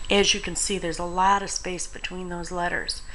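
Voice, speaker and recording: A woman keeps a moderate pace, her speech carrying audible room echo. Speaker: craft tutorial creator. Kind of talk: tutorial. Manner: casual, chatty.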